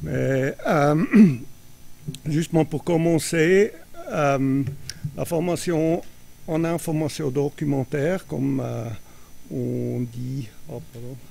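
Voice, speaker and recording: A non-native accent at a very slow pace, with long, frequent pauses and noticeable background noise. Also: man, fairly high pitch for a man, ordinary pitch variation. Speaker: association representative. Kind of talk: panel presentation.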